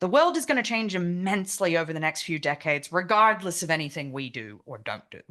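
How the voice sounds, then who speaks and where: A woman with an Australian accent talks at a very fast pace with hardly any pauses, her tone bright and sharp at a fairly low pitch. Her pitch swings very widely and her loudness swings a lot. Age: 30s. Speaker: activist speaker. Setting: meeting with online participants.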